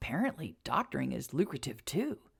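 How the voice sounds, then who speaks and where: Delivered in a put-on character voice, the speech moves at a fairly quick pace. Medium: read story.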